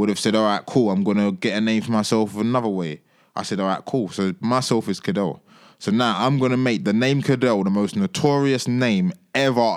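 A man's medium-pitched voice in a London accent, with ordinary pitch variation on a very clean recording, silent background. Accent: London Multicultural English. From East London, Tower Hamlets. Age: 20s. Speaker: musician. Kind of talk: casual chat.

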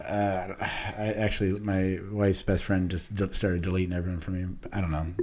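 In a room with audible echo, a man with a very deep, low pitch talks at a fairly quick pace in a monotone, flat intonation. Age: 30s. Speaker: former police officer. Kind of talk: casual chat.

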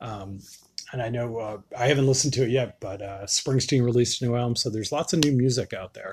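At a very fast pace, a man with an American accent talks at medium pitch, somewhat breathy, with ordinary pitch variation. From Western Massachusetts. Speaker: podcast host. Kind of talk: casual monologue. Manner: halting, many fillers.

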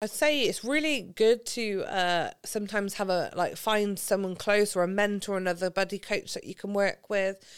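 In a Gloucestershire accent, a woman speaks at a moderate pace and medium pitch with ordinary pitch variation and hardly any pauses. The recording is very clean, with a silent background. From England, Gloucestershire. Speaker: football coach developer. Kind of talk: podcast interview.

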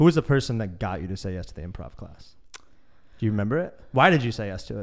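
Talking at a very fast pace with an American accent, a man has a fairly low pitch. His pitch swings very widely, and his loudness swings a lot too. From US Midwest. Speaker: podcast interviewer. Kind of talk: casual interview.

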